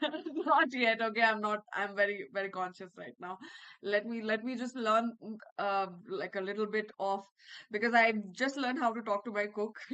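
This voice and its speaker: A woman with a Bihar accent speaks at a moderate pace in a fairly high, bright, sharp tone, with ordinary pitch variation and big swings in loudness. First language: Bhojpuri. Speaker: English educator. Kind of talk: online class lecture. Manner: repetitive, code-switching Hindi-English.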